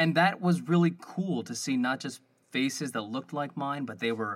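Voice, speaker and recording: This is a man with a normal speaking voice and a fairly high pitch. He talks at a moderate pace with ordinary pitch variation. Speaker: podcast co-host and D&D player. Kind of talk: casual interview chat.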